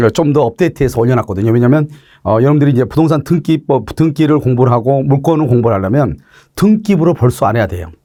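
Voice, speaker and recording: Against a very clean recording with a silent background, a man speaks very fast at a fairly high pitch, his tone dark and mellow and his intonation lively. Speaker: law lecturer. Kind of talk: lecture. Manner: filler-heavy.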